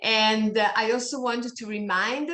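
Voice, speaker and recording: A woman speaks with a non-native accent at a fairly high pitch. Her pace is very slow. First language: not English. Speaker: online meeting moderator. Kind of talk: meeting announcements. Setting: Zoom video call. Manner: halting.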